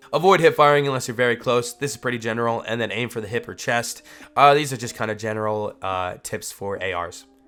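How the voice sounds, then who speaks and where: A man speaking at a very fast pace, medium in pitch with ordinary pitch variation, over music in the background. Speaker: gaming YouTuber. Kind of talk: tutorial. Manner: casual, with frequent fillers.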